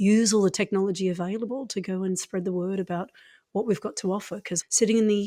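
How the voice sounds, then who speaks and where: In a very clean recording with a silent background, a woman with an Australian accent speaks at a fairly quick pace, her medium-pitched voice dark and mellow in tone with fairly even intonation. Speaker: acupuncturist. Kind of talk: interview conversation.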